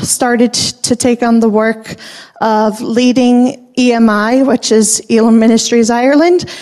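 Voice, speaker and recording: A woman's high voice with fairly even intonation over noticeable background noise. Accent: American. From Rochester, New York, US. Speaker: missionary wife and speaker. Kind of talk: personal introduction talk in church.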